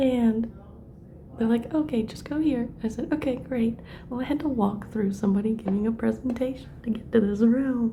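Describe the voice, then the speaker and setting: A woman speaks at a moderate pace with a fairly high pitch and fairly even intonation. Audible room echo and noticeable background noise come through as well. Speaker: math instructor. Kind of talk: tutorial; casual chat. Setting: rented library room. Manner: soft-spoken.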